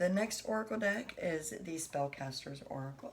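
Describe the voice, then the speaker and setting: At a moderate pace, a woman speaks with a very deep, low pitch and a somewhat breathy quality. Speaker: tarot reader. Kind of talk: tarot reading. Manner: soft-spoken.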